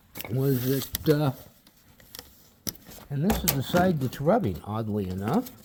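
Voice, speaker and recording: A man's medium-pitched voice at a fairly slow pace, with very wide pitch swings, long, frequent pauses and noticeable background noise. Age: 60s. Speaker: car hobbyist video maker. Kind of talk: casual tutorial. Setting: outdoors in backyard. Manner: hesitant, many fillers.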